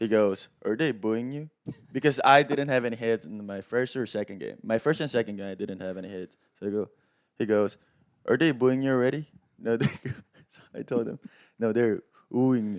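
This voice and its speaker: A man with a Korean accent speaks at a medium pitch and a fairly quick pace, with long, frequent pauses and ordinary pitch variation. His loudness swings widely on a very clean recording with a silent background. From South Korea. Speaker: professional baseball player. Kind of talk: podcast interview.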